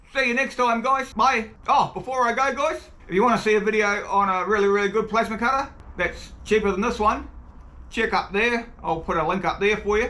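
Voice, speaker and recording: A man's high, raised, projected voice in a New Zealand accent, fairly quick in pace and very even in loudness. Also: ordinary pitch variation. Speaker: tool reviewer, video creator. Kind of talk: video outro.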